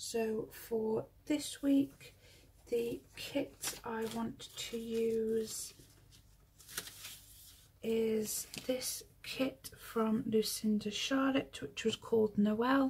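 A woman at a very slow pace, ordinary pitch variation, and light background noise. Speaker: planner hobby vlogger. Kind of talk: casual tutorial chat. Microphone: phone near.

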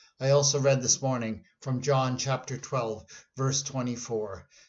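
A man speaks at a fairly slow pace, somewhat breathy, with fairly even intonation. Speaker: pastor. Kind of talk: devotional talk. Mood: earnest, reflective. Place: office. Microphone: webcam.

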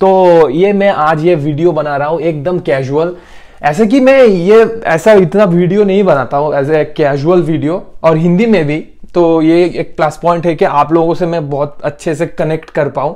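A high-pitched man at a moderate pace, ordinary pitch variation, quiet background. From India, Bengal. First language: Bengali (speaking Hindi). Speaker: YouTuber, hospitality professional; YouTuber. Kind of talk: casual vlog monologue. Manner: halting.

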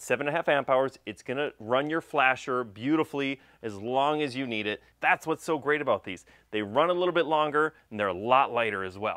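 Bright, sharp tone from a man at medium pitch, lively intonation, a fairly quick pace and few pauses

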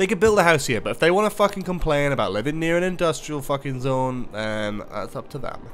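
Over faint music in the background, a man talks at a fairly quick pace with hardly any pauses, a fairly high pitch and very wide pitch swings. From Newcastle, northeast England. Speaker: gaming streamer. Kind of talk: casual live gameplay commentary. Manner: animated. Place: home room. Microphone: studio mic.

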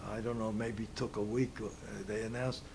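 A somewhat breathy man at a fairly low pitch, monotone and flat, with noticeable background noise. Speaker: interviewee. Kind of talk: interview answer. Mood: calm, reflective remembering. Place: home room.

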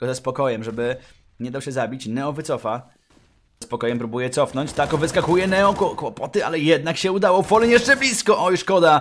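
Over music in the background, a man with a Polish accent rattles along at a very fast pace, his fairly high voice animated and his intonation lively. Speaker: esports commentator. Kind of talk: live esports commentary, play-by-play of a CS:GO match. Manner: excitable, animated, rapid-fire with bursts of amazement; joking, quips mid-play.

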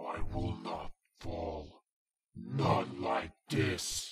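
A man's put-on character voice, very deep and low in pitch. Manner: menacing, grandiose.

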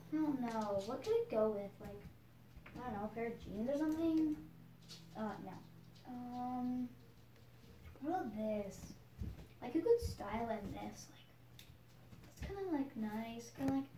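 The speech moves at a moderate pace, broken by long, frequent pauses and big swings in loudness. The room echo is audible over light background noise. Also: woman. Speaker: vlogger. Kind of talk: casual vlog chat. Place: home room.

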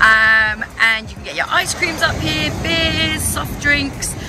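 Over music in the background, a woman speaks very slowly, her pitch swinging very widely and her loudness shifting a lot, in a dry sound with no echo. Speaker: travel guide vlogger. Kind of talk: casual vlog chat. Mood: cheerful, enthusiastic. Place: waterside. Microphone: phone near.

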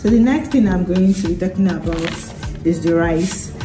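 A woman speaks in a fairly low voice. Music plays clearly in the background. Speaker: vlogger. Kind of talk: casual vlog chat. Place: home room. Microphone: phone near.

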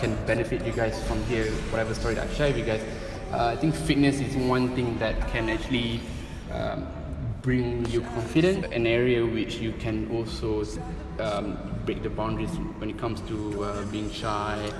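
A man talks at a moderate speed with clear music audible behind him. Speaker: interview guest. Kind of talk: interview answer. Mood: relaxed, smiling. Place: gym. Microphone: camera far.

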